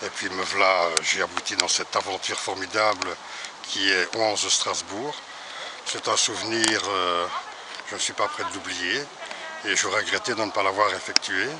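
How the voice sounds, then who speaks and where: A man's fairly low voice with fairly even intonation and long, frequent pauses, over noticeable background noise. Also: fairly slow pace. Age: 60s. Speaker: retired cyclist. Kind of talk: casual interview.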